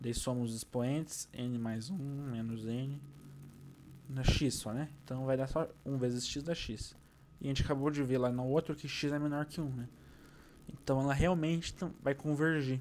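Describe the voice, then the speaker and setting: Pausing long and often, a man talks at a moderate pace with fairly even intonation. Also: fairly high pitch for a man. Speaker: physics teacher. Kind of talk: lecture.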